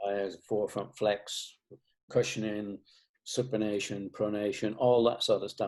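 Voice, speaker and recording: In a Lancashire accent, a man talks at a fairly slow pace with monotone, flat intonation. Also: fairly low pitch for a man. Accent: Northern English (Lancashire). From Bolton, England. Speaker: shoe company founder. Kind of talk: interview answer.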